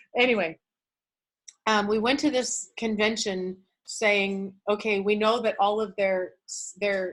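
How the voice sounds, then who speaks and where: A loud woman's voice of medium pitch. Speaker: motivational speaker. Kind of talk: motivational talk. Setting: video call. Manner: animated.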